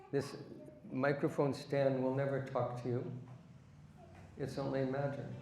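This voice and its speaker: With audible room echo, a man talks fairly slowly at a fairly high pitch, using monotone, flat intonation and long, frequent pauses. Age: 70s. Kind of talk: religious discourse.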